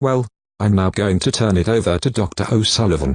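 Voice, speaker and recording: A man speaks at a moderate pace with a fairly low pitch and ordinary pitch variation, the sound dry and close with no echo against a quiet background. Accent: British. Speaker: lesson introducer. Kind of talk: lesson introduction.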